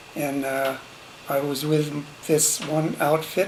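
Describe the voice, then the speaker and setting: A man speaks with a fairly high pitch. Noticeable background noise and audible room echo surround his voice. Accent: American. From small-town Illinois, US Midwest. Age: 80s+. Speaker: WWII veteran, grandfather. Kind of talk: family interview, personal history. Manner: halting, many fillers.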